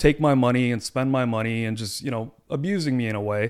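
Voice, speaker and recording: Here a man uses an ordinary speaking voice at medium pitch, with ordinary pitch variation. He keeps a moderate pace on a very clean recording with a silent background. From Toronto area, Canada, of Punjabi Indian family. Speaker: lawyer. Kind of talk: casual chat.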